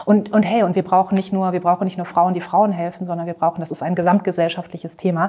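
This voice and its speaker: A woman talks very fast with hardly any pauses, her dark, mellow tone delivered in a monotone, flat intonation. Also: medium pitch for a woman. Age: 30s. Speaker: marketing consultant. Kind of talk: interview.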